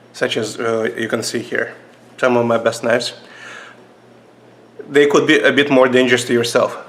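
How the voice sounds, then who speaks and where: A man speaks with long, frequent pauses. There is noticeable background noise. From Russia. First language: Russian. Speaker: knife reviewer, video creator. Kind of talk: product review vlog. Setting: seated at a table on camera. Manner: halting, many fillers.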